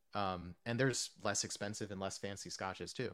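A man with an American accent at a moderate pace, his pitch varying in an ordinary way. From US Northeast (New Jersey / New York). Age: 30s. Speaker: whiskey reviewer and streamer. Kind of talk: casual chat. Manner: talkative.

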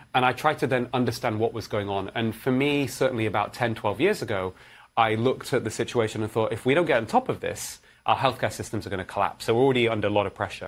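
A man with a Manchester accent talks at a very fast pace on a very clean recording with a silent background. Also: medium pitch for a man, ordinary pitch variation. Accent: northern English (Manchester). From northern England, Manchester. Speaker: cardiologist. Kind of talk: interview.

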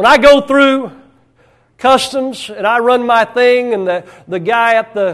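This man has a rural American accent. His pitch is extremely high. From rural United States. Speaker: pastor. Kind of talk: sermon. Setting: church. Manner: hesitant fillers.

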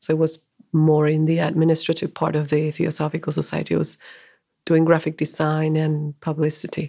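Over a quiet background, a woman in a Spanish accent speaks at a moderate pace with a very deep, low pitch and a dark, mellow tone. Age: 40s. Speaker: bookshop manager and spiritual teacher. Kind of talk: casual interview.

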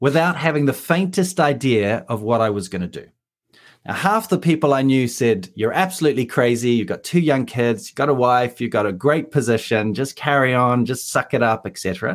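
Speaking with a New Zealand accent, a man at medium pitch moves at a fairly quick pace with lively intonation, on a very clean recording with a silent background. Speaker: leadership coach. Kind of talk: interview.

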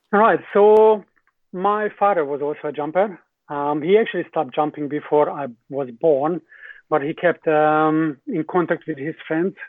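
The speaker has a Hungarian accent and ordinary pitch variation. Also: man, moderate pace. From Hungary. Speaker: skydiving company general manager. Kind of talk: casual interview. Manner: halting, many filler words.

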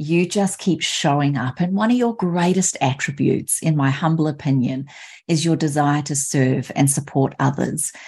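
Her pitch very deep and low, a woman with an Australian accent speaks at a moderate pace, somewhat breathy, with very even loudness and ordinary pitch variation. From Australia, Sunshine Coast Queensland. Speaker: podcast host. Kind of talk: interview.

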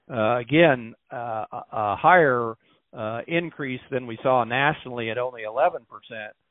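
A man talks in an ordinary speaking voice at a fairly slow pace and medium pitch. His loudness swings widely while his pitch varies in an ordinary way. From Missouri. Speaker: government agricultural statistician. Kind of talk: interview. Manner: frequent filler words (uh, um).

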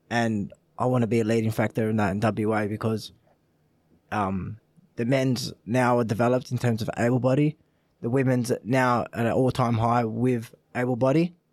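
On a very clean recording with a silent background, a man speaks with an Australian accent. His medium pitch holds fairly even intonation at a moderate pace. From Australia, Italian family. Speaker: para footballer. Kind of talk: casual chat.

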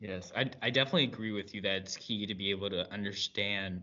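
A man's plain, everyday voice, fairly low in pitch, at a fairly quick pace. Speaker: panel moderator, military cadet. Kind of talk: moderated panel discussion.

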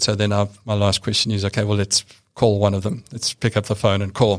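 At a moderate pace, a man with a South African accent talks in a fairly low, flat monotone, in a very clean recording with a silent background. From rural South Africa. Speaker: bank compliance executive. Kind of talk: interview. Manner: matter-of-fact.

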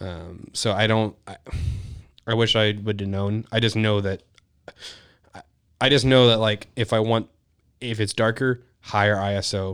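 This man's voice sits fairly low, with monotone, flat intonation. He keeps a moderate pace broken by long, frequent pauses. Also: big swings in loudness. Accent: American. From Texas, Houston area. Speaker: hunting and wedding photographer. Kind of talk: casual chat.

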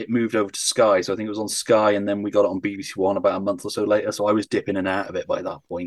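A man's very fast speech, fairly low in pitch, comes over a quiet background. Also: dry, close sound with no echo. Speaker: podcaster. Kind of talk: casual chat.

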